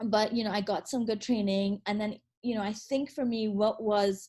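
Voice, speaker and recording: With a Trinidadian accent, a woman speaks in a somewhat breathy voice of dark, mellow tone and fairly even intonation. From Trinidad and Tobago. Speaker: attorney. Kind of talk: interview. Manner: halting, many fillers and repeats.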